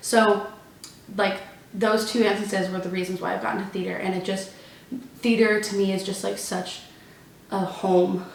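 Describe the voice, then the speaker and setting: With an American accent, a woman talks in a flat monotone at a moderate pace, leaving long, frequent pauses over noticeable background noise. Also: medium pitch for a woman. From Texas. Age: 20s. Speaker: college student, theater performer. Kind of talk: casual Q&A talk to camera.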